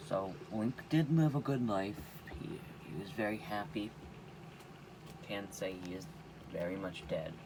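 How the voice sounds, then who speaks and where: A man's fairly low-pitched voice with very wide pitch swings, a fairly slow pace and audible room echo. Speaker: gaming youtuber. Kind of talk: gameplay commentary. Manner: casual; quiet.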